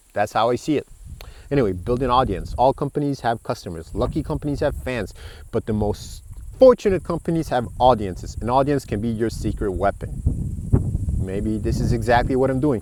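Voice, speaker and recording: A man speaks at a fairly quick pace with vocal fry and a medium pitch. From Estonia. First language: Estonian. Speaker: book reviewer, podcaster. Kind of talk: reading aloud and commenting on a book. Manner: talkative; halting.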